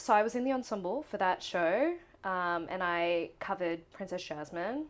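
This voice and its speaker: A woman speaks with an Australian accent, her pitch swinging very widely. The recording is very clean, with a silent background. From Queensland, Australia (Gold Coast). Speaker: musical theatre performer. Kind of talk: casual interview. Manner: animated.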